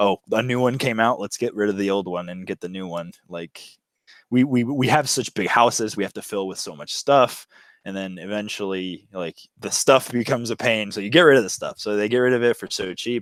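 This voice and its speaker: An ordinary speaking voice with an American accent at a fairly quick pace, with ordinary pitch variation and big swings in loudness, on a very clean recording with a silent background. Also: man, fairly low pitch for a man, dry, close sound with no echo. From USA. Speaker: bicycle touring and thrifting vlogger. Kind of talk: casual interview chat.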